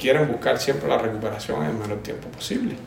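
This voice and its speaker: With a slight Cuban accent, a man speaks at a fairly quick pace amid audible room echo and noticeable background noise. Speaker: physical therapy lecturer. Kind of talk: interview. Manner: halting.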